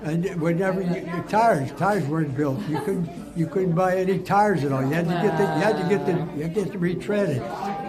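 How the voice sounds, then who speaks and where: With noticeable background noise and audible room echo, a high-pitched man speaks with ordinary pitch variation. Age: 80s+. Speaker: war veteran. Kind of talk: interview. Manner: loud; animated.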